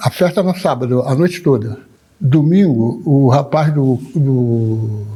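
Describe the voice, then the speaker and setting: A man's voice sits fairly high and sounds somewhat breathy. His tone is dark and mellow, his intonation lively. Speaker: candomblé drummer and elder. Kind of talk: oral history interview.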